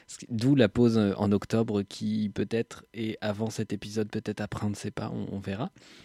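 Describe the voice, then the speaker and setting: A man speaks in a fairly low pitch with a dark, mellow tone and monotone, flat intonation, in a dry, close sound with no echo. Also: moderate pace. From Normandy, France. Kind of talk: casual chat.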